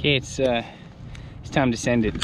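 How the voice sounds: Speaking at a moderate pace, the man keeps a medium pitch and fairly even intonation.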